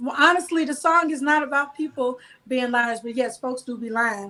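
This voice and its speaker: Speaking at a high pitch with fairly even intonation, a woman talks with a slight Southern US accent. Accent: slight Southern drawl. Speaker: gospel singer and songwriter. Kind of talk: casual interview.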